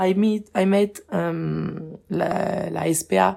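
Here is a woman with a French accent. Her pitch sits fairly low. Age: 20s. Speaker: charity co-founder. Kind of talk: interview. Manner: halting.

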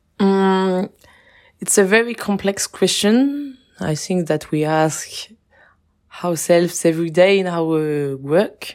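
Very slow speech in a French accent with ordinary pitch variation. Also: woman, fairly low pitch for a woman. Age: 20s. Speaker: charity co-founder. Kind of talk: interview. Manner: halting.

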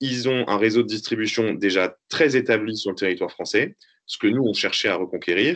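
A man talks at a moderate pace in an unremarkable speaking voice, his pitch varying in an ordinary way. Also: fairly low pitch for a man. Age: 30s. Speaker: entrepreneur, company owner. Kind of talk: interview.

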